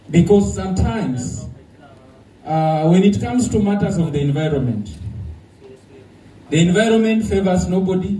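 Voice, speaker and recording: A man with a high pitch talks at a moderate pace, using lively intonation and long, frequent pauses. Audible room echo and noticeable background noise surround his voice. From Kenya. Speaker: conference speaker, government official. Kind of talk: conference talk. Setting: conference hall with audience.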